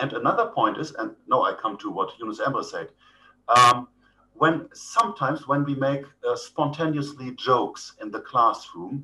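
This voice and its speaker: Speaking at a fairly slow pace, this man has a German accent. His delivery is unhurried. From Germany. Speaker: professor. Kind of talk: lecture. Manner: hesitant, many fillers.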